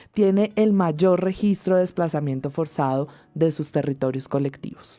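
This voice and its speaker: A woman's fairly slow speech, with ordinary pitch variation, plays against music in the background. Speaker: radio host. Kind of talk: scripted radio presenting.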